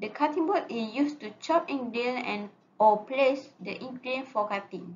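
Over light background noise, a woman with a high pitch talks at a moderate pace with lively intonation. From Malaysia. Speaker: student; presenter. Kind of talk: class presentation. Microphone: webcam.

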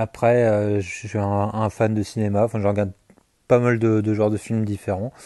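Monotone and flat in intonation, a man talks at a moderate pace with a fairly low pitch and a dark, mellow tone. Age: 20s. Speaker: YouTuber, gaming and manga channel. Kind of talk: casual vlog Q&A. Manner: hesitant, many fillers and repetitions.

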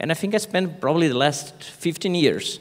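A man speaks with a Portuguese accent. His pace is moderate. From Brazil, Rio de Janeiro. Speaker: business school professor. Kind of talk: conference panel discussion.

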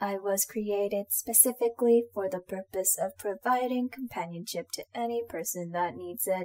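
This put-on character voice sounds robotic. It moves at a moderate pace with hardly any pauses. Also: woman, medium pitch for a woman. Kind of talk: audio roleplay. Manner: formal, mechanical.

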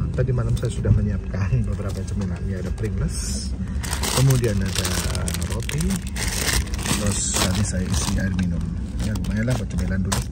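Loud background noise sits behind a man speaking at a fairly quick pace. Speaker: travel vlogger. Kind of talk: casual vlog chat. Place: plane. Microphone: phone near.

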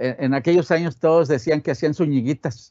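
Fairly slow speech from a man over a quiet background. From Monterrey, northern Mexico; Mexico. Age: 70s. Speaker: sculptor. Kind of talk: interview. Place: studio.

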